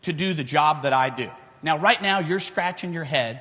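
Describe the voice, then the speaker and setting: This man has a Texan accent and a fairly high pitch. His intonation is lively. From Texas. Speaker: futures trader. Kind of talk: conference speech. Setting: stage with audience. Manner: loud.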